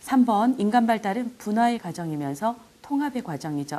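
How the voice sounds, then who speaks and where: A woman at a moderate pace, fairly high in pitch, with very wide pitch swings. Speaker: exam prep lecturer. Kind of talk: lecture.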